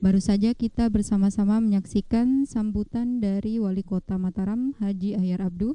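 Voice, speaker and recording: Her tone is dark and mellow, at a medium pitch for a woman. She keeps a moderate pace and fairly even intonation. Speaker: TV presenter. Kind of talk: live broadcast commentary. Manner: formal.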